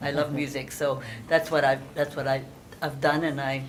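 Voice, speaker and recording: Background noise is noticeable and room echo audible as this woman talks. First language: Hungarian. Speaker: moderator. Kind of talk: panel introduction.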